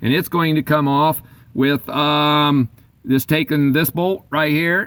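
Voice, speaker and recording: A man's plain, everyday voice, fairly high in pitch, at a fairly slow pace. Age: 60s. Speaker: DIY car repair hobbyist, auto worker. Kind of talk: tutorial. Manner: casual, with fillers.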